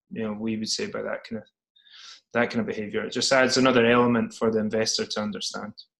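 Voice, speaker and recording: In a quiet background, a man with a Scottish accent speaks at a very fast pace. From Scotland. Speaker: startup CEO. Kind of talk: interview. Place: home room. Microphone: video call.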